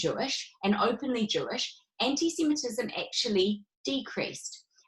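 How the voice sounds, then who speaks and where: A woman speaks with a New Zealand accent. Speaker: rebbetzin teaching a women's class. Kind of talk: online lecture.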